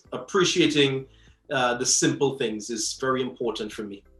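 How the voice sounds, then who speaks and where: Music plays in the background. A man speaks at a fairly quick pace with a medium pitch. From Trinidad (countryside). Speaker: bartender and rum brand ambassador. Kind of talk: interview. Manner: animated.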